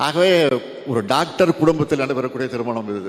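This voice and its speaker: Noticeable background noise sits behind this recording. A man talks at a medium pitch. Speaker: politician, former chief minister. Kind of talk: speech at a wedding function. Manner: emotional.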